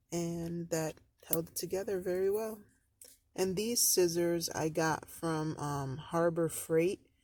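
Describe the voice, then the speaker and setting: Speaking at a very slow pace, a woman holds a fairly low pitch with fairly even intonation. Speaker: DIY crafter. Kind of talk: tutorial. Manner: casual, halting with fillers.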